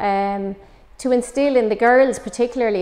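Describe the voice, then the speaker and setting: In a Waterford accent, the voice has a dark, mellow tone, ordinary pitch variation and a moderate pace. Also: woman. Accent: Irish, Waterford. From Ireland, West Waterford; Ireland. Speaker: former Gaelic footballer and coach; coach. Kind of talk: interview. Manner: hesitant, many fillers. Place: empty room.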